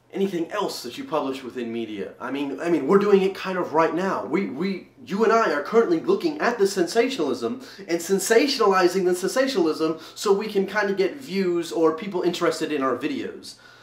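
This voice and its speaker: A man talks fairly quickly, with hardly any pauses, in a high voice with lively intonation. There is noticeable background noise behind him. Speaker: vlogger. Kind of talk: video response vlog. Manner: louder than normal, dynamic; halting, many repetitions.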